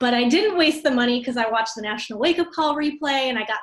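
Against a quiet background, a woman speaks fairly quickly in a high pitch with ordinary pitch variation. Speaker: team leader hosting training. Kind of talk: casual team training talk. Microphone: video call.

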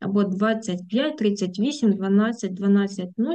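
A woman's dark, mellow voice at medium pitch, with ordinary pitch variation. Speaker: German language teacher. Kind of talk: tutorial. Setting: video lesson with screen sharing.

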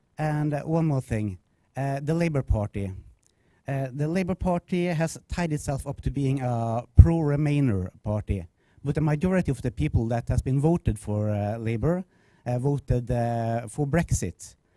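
In a dry recording with no echo and a quiet background, a man speaks at a moderate pace with a fairly high pitch and a dark, mellow tone. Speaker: audience member. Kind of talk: audience question. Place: classroom.

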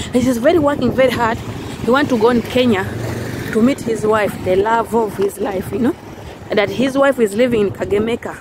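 Heard over noticeable background noise, a woman speaks at a moderate pace with ordinary pitch variation, in a dry sound with no echo. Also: fairly high pitch for a woman. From Uganda. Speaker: vlogger and housemaid; vlogger. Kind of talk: casual vlog monologue. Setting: outdoors walking in the street. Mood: happy, grateful.

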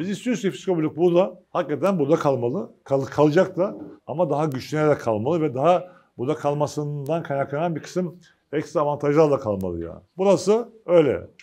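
Speaking at a moderate pace, a man uses a dark, mellow tone at a fairly high pitch. His pitch variation is ordinary and the background is quiet. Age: 50s. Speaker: agricultural cooperative union chairman. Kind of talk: press conference speech. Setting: meeting with press at company facilities. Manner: informal, conversational. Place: meeting room. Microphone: lapel.

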